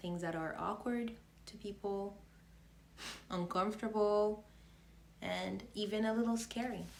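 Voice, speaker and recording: With audible room echo, a woman speaks at a fairly slow pace with ordinary pitch variation. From Haiti. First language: French and Haitian Creole. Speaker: faith vlogger. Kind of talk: casual faith vlog monologue. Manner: halting, stumbles over words.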